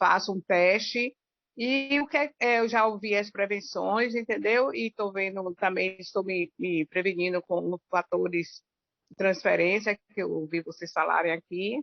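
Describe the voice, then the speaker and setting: An ordinary speaking voice from a woman, medium in pitch, with lively intonation and a fairly slow pace. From Bahia, Brazil. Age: 60s. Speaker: workshop participant asking a question. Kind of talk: question to the expert.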